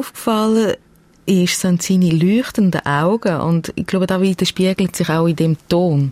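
A woman with a Swiss accent talks at a moderate pace in a medium pitch, with ordinary pitch variation, very even loudness and a dry, close sound with no echo. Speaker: podcast host and producer. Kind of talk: conversational interview; scripted narration. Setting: radio studio.

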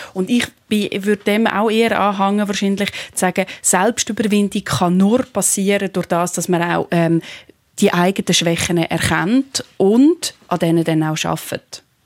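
A woman's normal speaking voice at a medium pitch with ordinary pitch variation, in a dry, close sound with no echo. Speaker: philosopher and TV presenter. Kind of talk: radio panel discussion.

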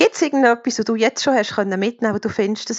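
Here is a woman with a plain, everyday voice. Her intonation is fairly even. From Switzerland, canton of Bern. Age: 40s. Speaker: listener asking questions. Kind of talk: casual interview questions.

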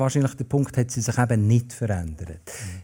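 With a Bernese accent, a man speaks at a moderate pace in a dark, mellow, somewhat breathy voice on a very clean recording with a silent background. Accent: Bernese German dialect, kept. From Bern, Switzerland. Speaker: festival organizer and writer. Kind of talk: casual chat. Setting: stage with live audience.

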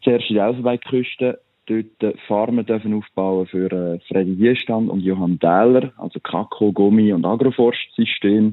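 A man's fairly low voice at a fairly slow pace, with hardly any pauses and fairly even intonation. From Switzerland. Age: 30s. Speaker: coffee farmer and agricultural engineer. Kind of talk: interview. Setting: phone call. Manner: halting.

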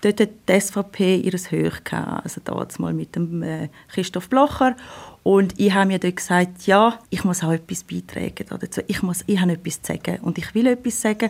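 At a moderate pace, a woman speaks at medium pitch with ordinary pitch variation and vocal fry. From Switzerland, canton of Thurgau. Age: 30s. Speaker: lawyer. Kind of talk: interview.

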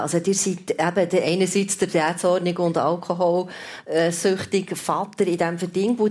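A woman's fairly low-pitched voice with a slightly mellow tone

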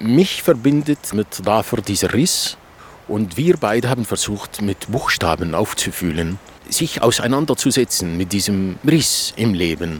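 Using an Arabic accent, a man with a fairly low voice speaks at a fairly slow pace with very wide pitch swings. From Iraq. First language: Arabic (speaking German). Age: 50s. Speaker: novelist. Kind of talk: interview. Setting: outdoors.

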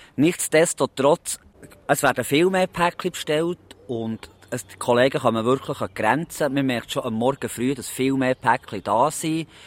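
The sound is dry and close, with no echo. A man speaks at a fairly slow pace, his medium pitch showing ordinary pitch variation. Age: 40s. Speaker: postman. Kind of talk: interview. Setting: outdoors in a park. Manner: halting.

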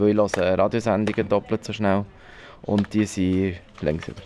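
This man speaks in a fairly low pitch with a monotone, flat intonation. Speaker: radio producer, visually impaired. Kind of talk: interview at the workplace. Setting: newsroom. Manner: hesitant, many fillers.

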